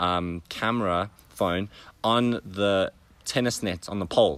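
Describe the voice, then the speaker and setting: A man speaks in a bright, sharp tone with fairly even intonation. The recording is very clean, with a silent background. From South Africa. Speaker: tennis player turned entrepreneur and mentor. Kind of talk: interview storytelling. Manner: hesitant, many fillers.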